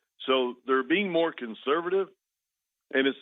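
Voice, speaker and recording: The speaker uses lively intonation and has an American accent. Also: man. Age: 60s. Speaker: oil and gas executive. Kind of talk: radio interview. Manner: halting.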